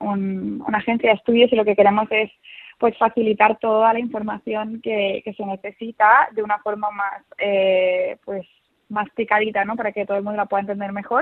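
A woman speaks at a moderate pace and fairly high pitch with fairly even intonation. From Seville. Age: young. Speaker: study abroad advisor. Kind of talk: interview. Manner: halting.

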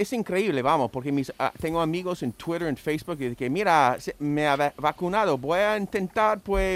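Lively intonation marks a man's speech, captured in a very clean recording with a silent background and a dry, close sound with no echo. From United States. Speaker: radio panelist. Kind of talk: casual chat.

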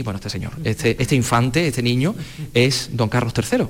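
Fairly quick speech with ordinary pitch variation amid noticeable background noise. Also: man. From Andalusia (La Carolina, Jaén). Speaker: radio host. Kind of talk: on-location radio interview. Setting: exhibition hall.

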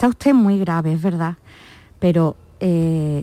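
The speaker is a woman with a fairly low pitch and a normal speaking voice. Her intonation is lively. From Málaga, Andalusia. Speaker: nurse. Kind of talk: interview. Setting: studio.

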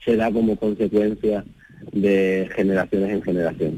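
The sound is dry and close, with no echo. A man speaks with a very deep, low pitch. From Huelva, Andalusia. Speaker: choreographer and dancer. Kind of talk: radio interview.

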